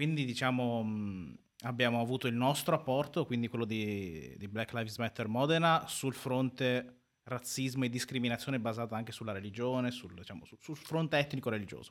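A man speaks in a normal speaking voice at medium pitch, fairly quickly, with ordinary pitch variation and big swings in loudness. The recording is very clean, with a silent background. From northern Italy, Sicilian family. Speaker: activist, law student. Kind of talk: live radio interview. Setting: radio studio.

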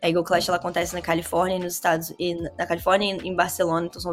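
A woman with a fairly low voice speaks in a fairly even intonation over music in the background. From Brazil, Vitória, Espírito Santo. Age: 20s. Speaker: cannabis grower and hashmaker. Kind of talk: casual interview chat.

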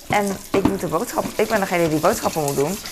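Noticeable background noise runs through the clip. A woman speaks at a fairly low pitch. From Netherlands, The Hague. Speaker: vlogger. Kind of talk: casual vlog monologue. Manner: halting, many fillers.

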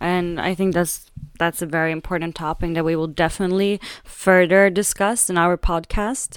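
In a very clean recording with a silent background, a woman with a Swedish accent speaks in a fairly low pitch with fairly even intonation. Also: moderate pace. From Sweden. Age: 20s. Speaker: podcast co-host. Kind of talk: casual chat.

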